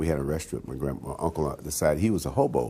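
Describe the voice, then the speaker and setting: At a very fast pace, a man talks in a very deep, low voice with a dark, mellow tone. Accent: American. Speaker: jazz pianist. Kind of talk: oral history interview. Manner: halting, many fillers and repeats.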